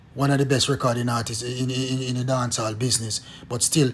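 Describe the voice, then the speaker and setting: A man with a Jamaican accent, animated in tone, at medium pitch and a moderate pace. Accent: Jamaican English with patois features. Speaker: former police detective, political commentator. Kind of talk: video monologue commentary.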